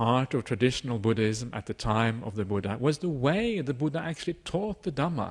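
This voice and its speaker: Over a quiet background, a man with a Norwegian accent speaks at a medium pitch. His pace is moderate and his intonation lively. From Norway. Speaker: Buddhist monk teacher. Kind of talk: dharma talk. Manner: frequent filler uhs, hesitant.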